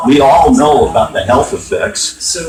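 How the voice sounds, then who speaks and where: A man is speaking. Noticeable noise runs in the background. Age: 70s. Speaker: activist at public meeting. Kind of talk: heated debate. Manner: insistent.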